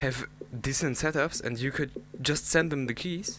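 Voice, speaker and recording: A man with a German accent speaks at a medium pitch in a bright, sharp tone with fairly even intonation. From Germany. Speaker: gaming YouTuber. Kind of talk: casual commentary rant. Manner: halting, many fillers.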